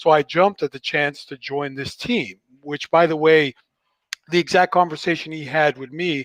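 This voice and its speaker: In an ordinary speaking voice, a man talks at a moderate pace, his fairly high pitch showing ordinary variation, with a dry, close sound and no echo. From Canada. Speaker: creative director. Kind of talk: team introduction.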